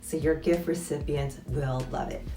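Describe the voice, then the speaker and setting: A woman talks with a fairly low voice while music sounds in the background. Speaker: former luxury retail employee. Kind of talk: casual talk to camera. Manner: quiet, low voice.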